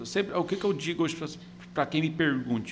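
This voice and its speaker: A man with a fairly high pitch and vocal fry talks at a very fast pace, his pitch varying in an ordinary way. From Goiás, Brazil (Catalão). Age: 40s. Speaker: business owner, franchisee. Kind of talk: casual interview chat. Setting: studio. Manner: halting, many repetitions.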